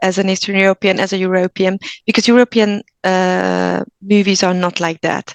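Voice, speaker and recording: A woman speaks with a Hungarian accent at a medium pitch. The sound is dry and close with no echo, and her intonation stays fairly even. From Hungary. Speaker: actor. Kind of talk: interview.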